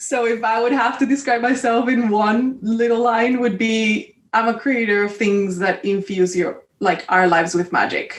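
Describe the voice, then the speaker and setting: A woman with a Spanish accent speaks at a moderate pace with hardly any pauses, her fairly high pitch showing ordinary variation and her loudness very even. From Colombia. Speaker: creative entrepreneur. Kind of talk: casual chat.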